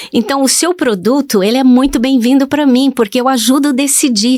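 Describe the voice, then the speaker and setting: A high-pitched woman at a moderate pace, with ordinary pitch variation. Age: 70s. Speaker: digital influencer. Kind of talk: interview.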